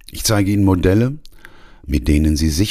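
This man's very deep, low voice is somewhat breathy, with lively intonation. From Ruhr area, Germany. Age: 60s. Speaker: coach and podcast host. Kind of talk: scripted podcast intro monologue.

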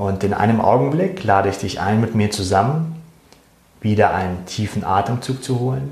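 A man speaks at a fairly low pitch. He has a plain, everyday voice. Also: ordinary pitch variation. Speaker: meditation guide. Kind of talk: guided meditation. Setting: recorded live show for Facebook. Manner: calm, slow and soothing, soft-spoken, with gentle pauses.

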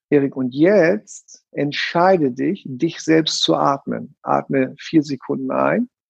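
Speaking at a very slow pace, a man leaves hardly any pauses. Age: 50s. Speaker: NLP trainer. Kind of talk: casual chat; guided breathing exercise.

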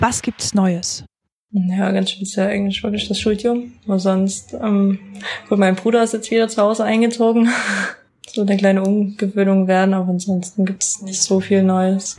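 Monotone, flat intonation runs through a woman's voice. Her pitch is medium and her pace is moderate. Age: 20s. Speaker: university student. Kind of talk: interview answers. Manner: casual, colloquial.

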